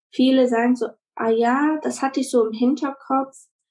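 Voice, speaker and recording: With a normal speaking voice, a woman talks at a moderate pace and with ordinary pitch variation. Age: 20s. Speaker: virtual assistant and childcare worker. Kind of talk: casual interview.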